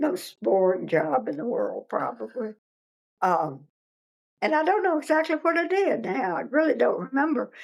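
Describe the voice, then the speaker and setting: A woman with a Virginia accent at a moderate pace. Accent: Virginia Southern American. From Virginia, US South. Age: 80s+. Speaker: interviewee recounting local history. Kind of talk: oral history interview. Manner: halting.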